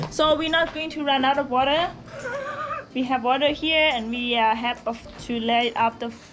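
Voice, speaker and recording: Faint music plays in the background as a woman speaks at a fairly slow pace with ordinary pitch variation. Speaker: tour guide vlogger. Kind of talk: casual vlog chat. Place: tunnel cave. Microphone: phone near.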